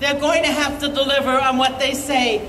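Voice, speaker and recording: Noticeable background noise and audible room echo around a woman's high voice. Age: 60s. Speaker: activist. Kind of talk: protest rally speech. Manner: impassioned.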